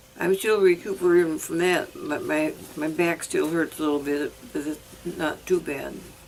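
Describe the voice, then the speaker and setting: Through noticeable background noise, a woman speaks at a fairly low pitch with fairly even intonation. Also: moderate pace. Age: 90s. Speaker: elderly widow living alone. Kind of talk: interview. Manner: halting.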